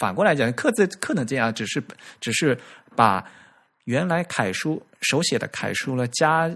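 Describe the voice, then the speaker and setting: Over a very clean recording with a silent background, a man speaks at a fairly slow pace with lively intonation. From China, Fujian. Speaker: podcast host on typography. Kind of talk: casual chat. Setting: recorded audio podcast.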